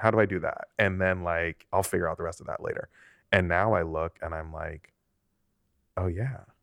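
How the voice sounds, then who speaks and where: Against a quiet background, a man with a fairly low voice speaks at a moderate pace, the sound dry and close with no echo, an ordinary speaking voice. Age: 30s. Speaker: podcast co-host and sports manager. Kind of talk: casual chat.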